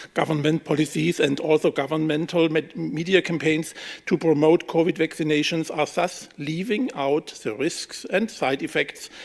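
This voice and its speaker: Speaking at a fairly slow pace, a man with a German accent has a fairly high pitch and ordinary pitch variation. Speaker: politician. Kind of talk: press conference statement. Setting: press room. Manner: reading from script.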